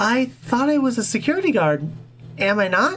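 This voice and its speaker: In a put-on character voice with a fairly high pitch, the speaker moves at a moderate pace through very wide pitch swings. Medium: read story.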